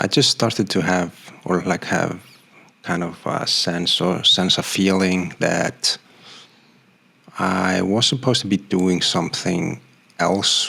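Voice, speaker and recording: A man with a very deep, low pitch and ordinary pitch variation, at a very slow pace. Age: 40s. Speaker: graphic designer and vlogger. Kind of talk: personal vlog monologue. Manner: hesitant, many fillers.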